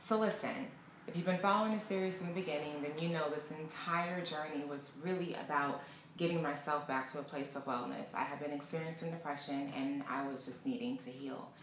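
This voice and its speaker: With audible room echo and light background noise, a woman talks in a fairly low pitch. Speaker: travel vlogger. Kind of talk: casual vlog chat. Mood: warm, reflective. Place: home room.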